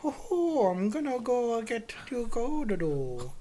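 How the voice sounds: A female-sounding, put-on character voice with a fairly high pitch and a fairly slow pace.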